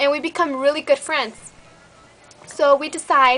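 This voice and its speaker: A woman with a slight Mexican accent, music in the background. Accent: Mexican-Spanish tinge in English. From Mexico (Michoacán), raised in US. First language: Spanish. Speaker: beauty vlogger, army soldier. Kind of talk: casual vlog chat. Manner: animated.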